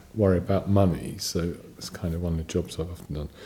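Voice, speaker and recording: A man talks at a moderate pace, his voice somewhat breathy. His tone is dark and mellow. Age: 60s. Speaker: ordained Buddhist. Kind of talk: dharma talk. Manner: halting.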